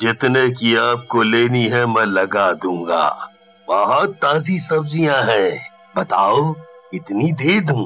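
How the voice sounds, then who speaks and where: A man's cartoonish character voice at medium pitch, delivered at a very slow pace over faint background music. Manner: friendly, ingratiating.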